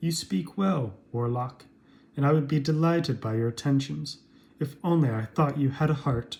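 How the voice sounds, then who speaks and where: A man puts on a character voice with a fairly high pitch. He keeps a moderate pace. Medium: read story. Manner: earnest.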